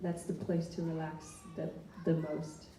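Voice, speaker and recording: Over noticeable background noise and audible room echo, a woman speaks in a fairly low pitch with monotone, flat intonation. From Greenland. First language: Greenlandic. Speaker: singer-songwriter. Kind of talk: interview. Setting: library stage with audience. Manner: hesitant, repeats words.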